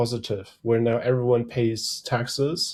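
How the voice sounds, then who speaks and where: On a very clean recording with a silent background, a man speaks at a fairly slow pace in a medium pitch, somewhat breathy. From Germany. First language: German. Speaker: threat intelligence strategist. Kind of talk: podcast interview.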